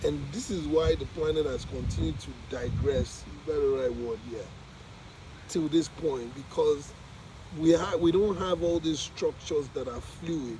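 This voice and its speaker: Speaking fairly slowly, a man is heard with noticeable noise behind him. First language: not English. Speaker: vlogger documenting spiritual journey. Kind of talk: casual monologue. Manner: halting.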